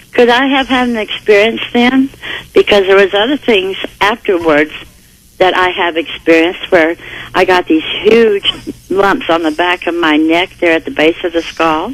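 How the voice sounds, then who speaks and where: Against noticeable background noise, a woman talks at medium pitch and a moderate pace with lively intonation. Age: 60s. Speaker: caller. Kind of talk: phone-in call. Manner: halting.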